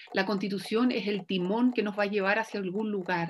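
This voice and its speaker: Speaking with a Chilean accent, a woman keeps a moderate pace and medium pitch. Her intonation stays fairly even. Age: 40s. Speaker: lawyer and political candidate. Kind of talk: campaign appeal; interview conversation.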